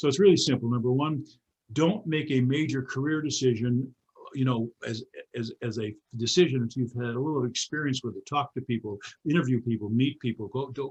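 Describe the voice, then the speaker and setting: A somewhat breathy male voice at a fairly quick pace. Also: medium pitch for a man, ordinary pitch variation. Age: 80s+. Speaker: motivational speaker. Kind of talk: interview. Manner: animated; halting.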